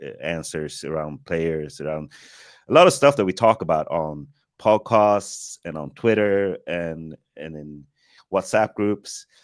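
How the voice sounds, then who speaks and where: Recorded very cleanly against a silent background, a man with an American accent speaks in a very deep, low pitch with ordinary pitch variation. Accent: American-sounding. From Sweden. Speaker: film director, podcast guest. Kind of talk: casual chat.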